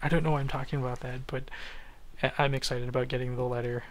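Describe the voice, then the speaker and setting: The man's voice is quiet, at a medium pitch. Audible room echo surrounds it. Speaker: gaming YouTuber. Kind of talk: gameplay commentary narration. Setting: at workplace, night shift. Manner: quiet, hushed.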